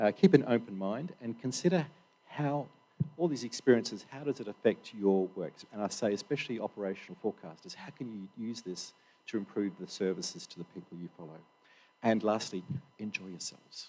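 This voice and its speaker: A man's dark, mellow voice at a fairly quick pace, with very wide pitch swings and big swings in loudness. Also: medium pitch for a man. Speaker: workshop organiser. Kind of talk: opening address at conference. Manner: halting, many fillers.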